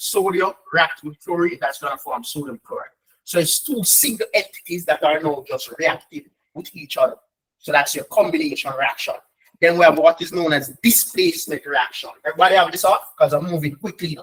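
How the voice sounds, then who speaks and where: At a fairly quick pace, a man speaks with big swings in loudness. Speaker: chemistry tutor. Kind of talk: online lesson. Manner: fast; animated.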